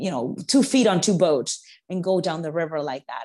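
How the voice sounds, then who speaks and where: A woman's medium-pitched voice with a dark, mellow tone and lively intonation. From Venezuela. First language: Spanish. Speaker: chef and TV host. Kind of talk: casual interview. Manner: halting, many repetitions.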